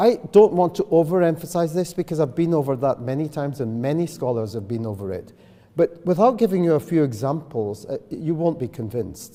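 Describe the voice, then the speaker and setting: Speaking in a Scottish accent, a man has a fairly high pitch, a dark, mellow tone, very wide pitch swings and a fairly quick pace. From Scotland. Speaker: professor of public health. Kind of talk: lecture. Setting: lecture hall with audience.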